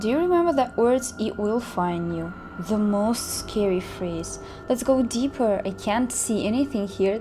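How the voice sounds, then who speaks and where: Over music in the background, a woman talks at a fairly slow pace. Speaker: vlogger. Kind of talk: casual vlog chat. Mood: nervous, spooked excitement. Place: forest. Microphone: phone near.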